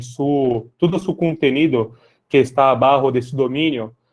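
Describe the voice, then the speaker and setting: In a Brazilian accent, a man speaks at a fairly high pitch. His pace is fairly slow, and his intonation fairly even. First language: Portuguese (speaking Spanish). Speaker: tech sales lead for public sector. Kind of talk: webinar presentation.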